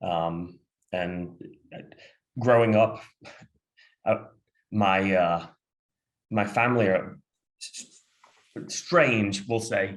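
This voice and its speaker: Speaking with an American accent at a very slow pace, a man with a fairly low voice uses ordinary pitch variation, leaves long, frequent pauses and swings widely in loudness. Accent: sounds American. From Sheffield, northern England. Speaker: football fan guest. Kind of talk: casual chat. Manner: halting, many fillers.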